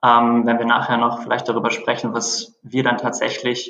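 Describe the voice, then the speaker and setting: Medium-pitched male speech at a moderate pace, with audible room echo. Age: 30s. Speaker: startup founder and CEO. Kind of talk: interview. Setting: phone call.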